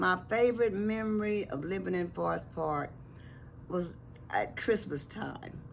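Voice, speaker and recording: Fairly slow speech from a woman, audible echo in the room. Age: 80s+. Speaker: longtime resident. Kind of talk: interview.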